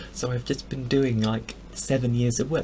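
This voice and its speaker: Someone talks at a moderate pace with an English accent. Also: man. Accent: posh English (RP). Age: 20s. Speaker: vlogger. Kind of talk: casual vlog monologue. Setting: home bedroom.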